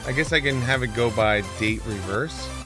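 A man's medium-pitched voice at a moderate pace, with ordinary pitch variation and clear music in the background.

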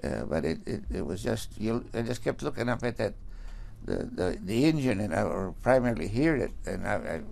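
A man's voice with vocal fry and lively intonation at a moderate pace. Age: 80s+. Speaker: accident survivor. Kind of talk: interview testimony. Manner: halting, many stammers and restarts. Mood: shaken, recounting fear.

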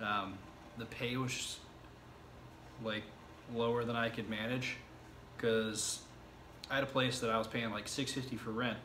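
Amid noticeable background noise, a man speaks at a moderate pace in a flat, monotone delivery. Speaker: self-taught web developer vlogger. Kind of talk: casual vlog chat. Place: home room. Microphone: camera far.

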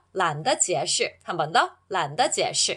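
A woman's animated tone with very wide pitch swings, on a very clean recording with a silent background. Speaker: Chinese language teacher. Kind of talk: language lesson tutorial.

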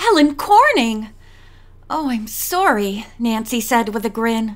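A woman speaks fairly slowly, her pitch swinging very widely. Noticeable background noise runs behind her. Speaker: audiobook narrator. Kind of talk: audiobook reading.

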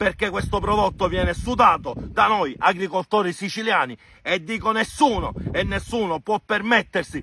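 A man with a bright, sharp tone speaks at a moderate pace with ordinary pitch variation, the sound dry with no echo over light background noise. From Sicily. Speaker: farmer. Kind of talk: angry protest talk to camera. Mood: angry and frustrated. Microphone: phone near.

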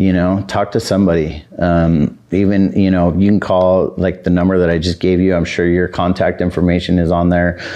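With an American accent, a man talks in a very deep, low pitch and a flat monotone at a moderate pace, with very even loudness, hardly any pauses, and a quiet background. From Southern California. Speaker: addiction recovery center co-founder. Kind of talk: interview. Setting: studio. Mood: calm, relaxed. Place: studio.

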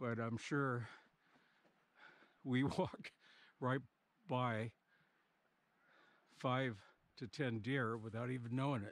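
Leaving long, frequent pauses, a man speaks at a fairly slow pace with fairly even intonation in a dry sound with no echo. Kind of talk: casual vlog chat. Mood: relaxed, appreciative. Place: open country. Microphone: phone near.

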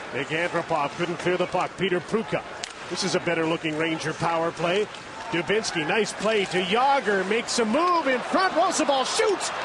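A man's high-pitched voice at very even loudness, dry with no echo, over noticeable background noise. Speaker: play-by-play announcer. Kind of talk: live sports commentary. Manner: rapid-fire, rising excitement on goals. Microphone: headset.

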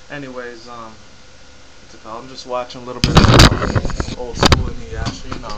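Loud noise fills the background as a man talks at a fairly quick speed. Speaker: YouTube vlogger. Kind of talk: casual talk to camera. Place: home room. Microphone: webcam.

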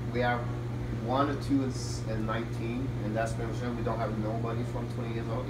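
A man with a Quebec accent at a fairly quick pace, amid loud background noise. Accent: French-Canadian accent in English. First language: French. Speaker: hockey head coach and team owner. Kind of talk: interview. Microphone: camera far.

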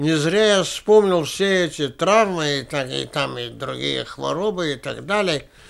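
The background is quiet. A man with a high pitch speaks at a very slow pace. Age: 90s. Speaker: war veteran and journalist. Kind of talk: interview; interview answer. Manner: halting. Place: home room.

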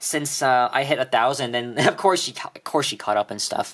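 Over noticeable background noise, a man speaks with a Canadian accent. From Toronto, Canada. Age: young. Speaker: YouTuber. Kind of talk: casual vlog. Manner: halting, many fillers.

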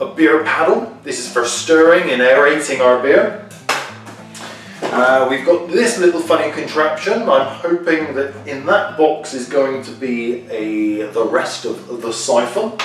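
Over clear music in the background and audible room echo, a man speaks at a fairly slow pace with big swings in loudness. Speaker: presenter. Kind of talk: product demo unboxing. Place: kitchen. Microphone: camera far.

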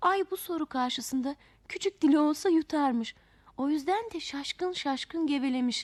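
This woman speaks at a high pitch with ordinary pitch variation. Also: moderate pace.

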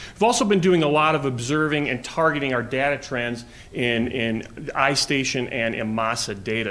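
Speaking with a New York accent, a man at medium pitch and with ordinary pitch variation is heard through audible room echo. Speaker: assistant principal. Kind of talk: presentation to school board. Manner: halting, many fillers.

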